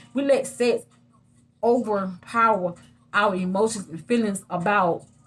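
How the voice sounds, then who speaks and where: There is a somewhat breathy quality here. It belongs to a woman's voice. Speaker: vlogger. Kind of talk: casual monologue to camera. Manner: halting, repeats words.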